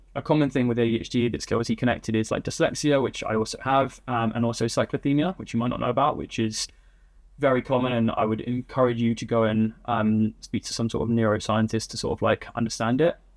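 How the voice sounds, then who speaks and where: Against a quiet background, a man with an English accent speaks at a very fast pace with fairly even intonation. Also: medium pitch for a man. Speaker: agency founder. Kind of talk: interview.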